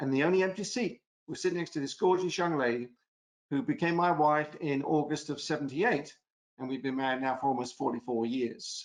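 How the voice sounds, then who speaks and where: A man with an American accent talks at a fairly quick pace, his fairly high pitch showing ordinary pitch variation. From England. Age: 60s. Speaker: former prosecutor, lecturer. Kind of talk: webinar presentation. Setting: online webinar.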